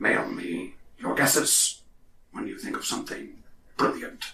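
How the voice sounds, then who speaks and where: Using a put-on character voice, a man speaks at an extremely high pitch and a moderate pace. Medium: actual play. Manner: cryptic, eccentric.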